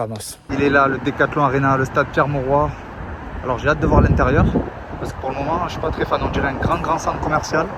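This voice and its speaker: A man with a Marseille accent speaks at a very fast pace with long, frequent pauses, a fairly high pitch and a monotone, flat intonation. Noticeable background noise and audible room echo surround him. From Marseille, southern France. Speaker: football vlogger. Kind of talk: vlog. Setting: outdoors at a train station and stadium.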